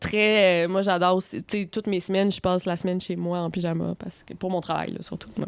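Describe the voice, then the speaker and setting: The woman's medium-pitched voice holds a fairly even intonation. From Quebec. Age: 20s. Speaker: YouTuber and author. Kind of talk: interview. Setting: hotel room.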